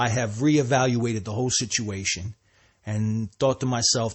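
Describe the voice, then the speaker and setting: With a New Jersey accent, a man speaks at a moderate pace in a somewhat breathy voice, his medium pitch held in fairly even intonation. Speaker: podcaster and hip hop artist. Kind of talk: solo monologue. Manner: halting, many repeats and restarts.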